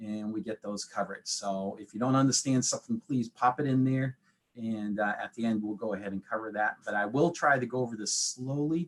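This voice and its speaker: Here a man speaks with an American accent. His pitch is medium and his intonation fairly even. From New England. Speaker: accountant. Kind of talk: webinar presentation. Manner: fast; lots of fillers.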